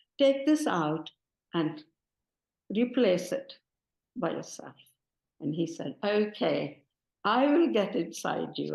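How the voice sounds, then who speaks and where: A woman speaks at a fairly slow pace. Her voice has vocal fry. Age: 70s. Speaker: devotee sharing testimony. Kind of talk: testimony.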